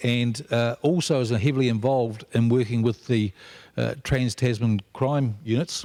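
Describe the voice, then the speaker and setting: In a New Zealand accent, a man speaks at medium pitch and a moderate pace, with fairly even intonation and very even loudness on a very clean recording with a silent background. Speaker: aviation security regulator. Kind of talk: panel introduction.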